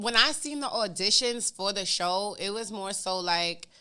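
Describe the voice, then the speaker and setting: A woman with an American accent, fairly high pitch, an animated, bright and sharp tone, and a fairly slow pace. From Bronx, New York and Virginia Beach. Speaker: reality TV and social media personality. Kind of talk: casual interview chat.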